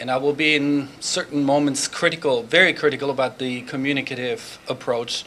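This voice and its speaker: Someone with a German accent speaks at a moderate pace with fairly even intonation. There is noticeable background noise. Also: man. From Germany. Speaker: professor. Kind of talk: conference talk. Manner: hesitant, many fillers.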